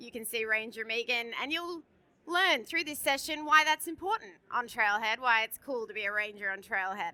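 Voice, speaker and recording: A woman with an Australian accent speaks at a moderate pace with a fairly high pitch and lively intonation. Her tone is bright and sharp, with big swings in loudness. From Australia, Sydney. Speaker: conference presenter. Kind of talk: conference presentation. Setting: stage with audience. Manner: animated.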